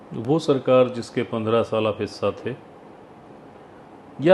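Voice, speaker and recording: A man is speaking at a medium pitch. The pitch varies in an ordinary way. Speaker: interviewer. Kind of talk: interview questions.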